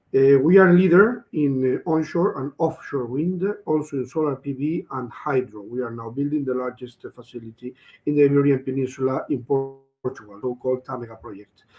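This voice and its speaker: A man speaks at a medium pitch and a fairly quick pace with ordinary pitch variation. Music plays in the background, and the loudness swings widely. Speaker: energy company representative. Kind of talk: panel discussion.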